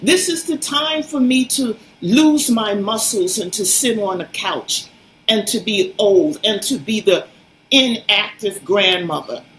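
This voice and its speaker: Fairly slow speech from a woman, fairly high in pitch with very wide swings, over noticeable background noise. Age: 70s. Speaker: fitness advocate. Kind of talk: interview. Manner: animated.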